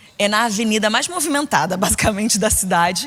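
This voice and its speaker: Against noticeable background noise, a woman with a fairly high pitch speaks in an animated tone at a moderate pace. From Brazil, Rio de Janeiro state (Niterói). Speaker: preacher. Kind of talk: sermon.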